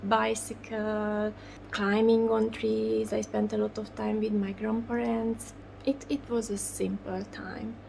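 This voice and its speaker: Very slow delivery in a Hungarian accent. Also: woman. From Hungary, Budapest. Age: 40s. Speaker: doll artist. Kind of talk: interview. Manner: halting.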